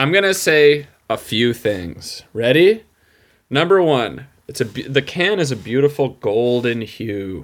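Fairly slow, medium-pitched speech from a man with an American accent and very wide pitch swings, on a very clean recording with a silent background. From upstate New York (Utica area). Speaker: podcast listener guest. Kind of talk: casual chat.

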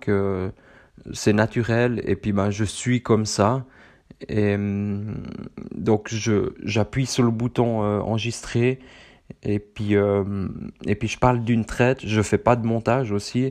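Speaking very slowly with long, frequent pauses, a man with a Swiss accent keeps a fairly low pitch and a monotone, flat intonation. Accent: Swiss French, moderate. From central Switzerland. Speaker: running podcaster. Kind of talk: casual solo monologue. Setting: seated solo recording. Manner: hesitant, many fillers.

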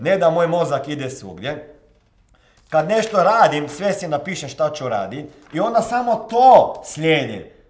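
A man speaks at a moderate pace with a fairly high pitch. His pitch swings very widely, and the room echo is audible. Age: 40s. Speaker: motivational coach. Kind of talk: motivational monologue.

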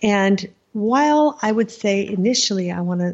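A woman speaks with an American accent and lively intonation. Her voice is somewhat breathy. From United States. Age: 50s. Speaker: writer. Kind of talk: interview.

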